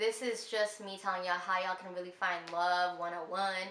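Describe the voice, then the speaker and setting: Over audible room echo, a woman with a medium pitch speaks in an animated tone. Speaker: lifestyle vlogger. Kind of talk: casual advice vlog. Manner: loud.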